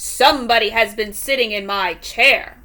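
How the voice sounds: A woman puts on a gruff character voice, pitched fairly high. She speaks at a moderate pace.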